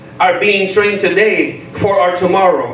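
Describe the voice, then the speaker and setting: A man's high-pitched voice with audible room echo and light background noise. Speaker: pastor. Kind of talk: sermon, bilingual English-Spanish with interpreter-style repetition. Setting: church. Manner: animated, call-and-response, pausing for translation; repeats each point in Spanish. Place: church.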